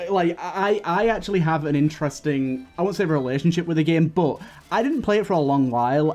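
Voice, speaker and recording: Over music in the background, a man speaks at a fairly quick pace with a fairly high pitch and ordinary pitch variation. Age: 20s. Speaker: podcast host. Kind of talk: casual chat.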